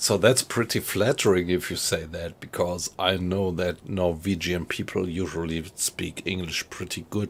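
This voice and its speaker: A man speaks with a German accent. His pitch is very deep and low, his pace fairly slow. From Germany, Frankfurt area. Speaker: gaming streamer. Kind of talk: casual chat. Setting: live stream. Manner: halting.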